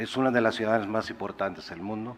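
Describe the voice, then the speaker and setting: With a non-native accent, a man is talking. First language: not Spanish (speaking Spanish). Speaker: company executive. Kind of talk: press conference answer. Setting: press conference. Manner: halting.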